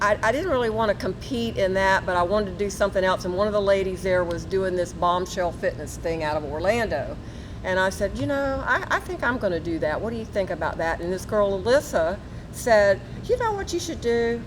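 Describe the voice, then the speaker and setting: Noticeable background noise runs behind a woman. She talks at a fairly quick pace and medium pitch with lively intonation. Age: 70s. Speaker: retired nurse. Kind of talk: casual interview.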